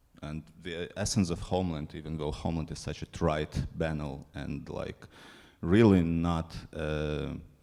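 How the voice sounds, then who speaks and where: A man's very deep, low voice with a dark, mellow tone, fairly even intonation and a fairly slow pace. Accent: non-native. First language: not English. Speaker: film programmer. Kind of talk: panel discussion. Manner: halting.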